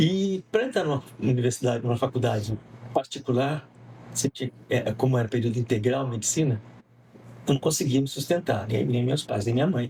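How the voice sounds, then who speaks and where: A man's medium-pitched voice with ordinary pitch variation, a fairly quick pace and a slight southern Minas Gerais accent. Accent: slight southern Minas Gerais tinge. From interior of São Paulo state, near Minas Gerais border. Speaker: communication professor and semiotics researcher. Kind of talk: podcast interview.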